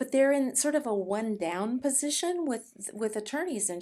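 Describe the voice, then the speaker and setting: On a very clean recording with a silent background, a woman uses an ordinary speaking voice with lively intonation at a moderate pace. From California, Mexican-American family. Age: 60s. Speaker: martial arts instructor and author. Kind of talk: interview.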